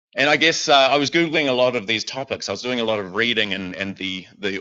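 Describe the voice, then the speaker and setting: With ordinary pitch variation, a man speaks in a New Zealand accent. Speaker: lay preacher. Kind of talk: sermon. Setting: church with congregation, also streamed online. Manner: hesitant, many fillers.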